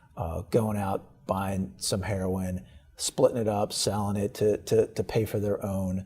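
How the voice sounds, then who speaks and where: A man's fairly low, monotone, flat voice at a fairly slow pace, with music in the background. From Baltimore, Maryland, US. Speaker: state's attorney. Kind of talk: interview. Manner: repetitive, hesitant with fillers.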